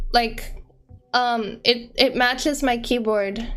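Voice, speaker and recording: A woman's high-pitched voice with an American accent, at a very slow pace, over music in the background. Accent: American with cot-caught merger. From US, region with cot-caught merger. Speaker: streamer. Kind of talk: casual chat. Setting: live stream. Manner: animated.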